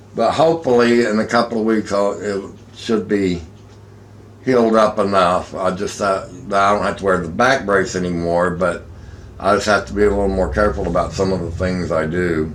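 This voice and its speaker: Audible room echo surrounds a man with a fairly low pitch, who speaks at a moderate pace with ordinary pitch variation. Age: 50s. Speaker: vlogger. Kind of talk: casual chat.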